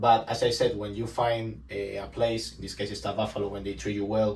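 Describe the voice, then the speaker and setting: A man's fairly low voice with vocal fry and a Spanish accent, at a moderate pace with ordinary pitch variation and audible room echo. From Spain, Malaga. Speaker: recruiting support specialist. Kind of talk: casual interview chat.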